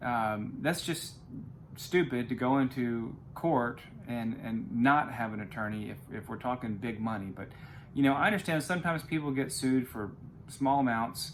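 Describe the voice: A man talks at a moderate pace, his medium pitch showing ordinary variation.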